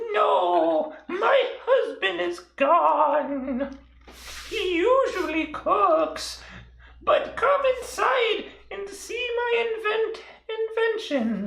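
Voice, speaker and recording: A put-on character voice at an extremely high pitch, very slow pace and slight echo. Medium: actual play. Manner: rambling, eccentric.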